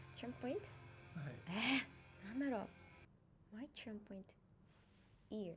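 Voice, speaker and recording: With music playing in the background, a woman with a fairly high pitch uses a playful tone, ordinary pitch variation, big swings in loudness and long, frequent pauses. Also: moderate pace. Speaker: ring announcer. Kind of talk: interview answer. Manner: casual, playful.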